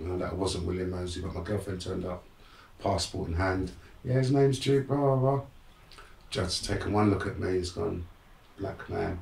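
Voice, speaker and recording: With audible room echo and noticeable background noise, a man with a very deep, low pitch speaks at a fairly quick pace, using ordinary pitch variation and long, frequent pauses. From London, England. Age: 60s. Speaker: motivational speaker. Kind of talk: interview storytelling. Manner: animated.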